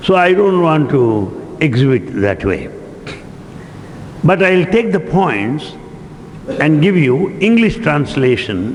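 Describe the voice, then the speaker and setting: Very slow speech in an Indian accent, with very wide pitch swings, very even loudness, long, frequent pauses, audible room echo and noticeable background noise. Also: man, fairly high pitch for a man. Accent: Indian English, Telugu. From India, Telugu-speaking region. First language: Telugu. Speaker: spiritual lecturer. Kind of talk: lecture. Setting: hall with live audience.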